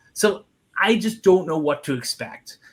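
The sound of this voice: With a Long Island accent, a man with a high pitch and a slightly husky edge speaks at a fairly slow pace with lively intonation. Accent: Long Island, New York.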